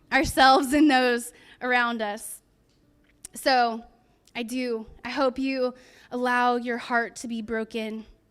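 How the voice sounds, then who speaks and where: Speaking in an American accent, a woman uses a high pitch and monotone, flat intonation. She talks very slowly with long, frequent pauses in a very clean recording with a silent background. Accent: slight twang. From California. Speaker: pastor. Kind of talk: sermon.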